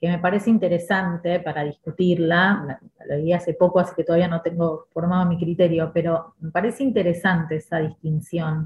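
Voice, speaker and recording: Speaking in a Rioplatense accent at a moderate pace with hardly any pauses, a woman keeps a fairly low pitch and fairly even intonation. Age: 50s. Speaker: school director and educator. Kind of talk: podcast interview.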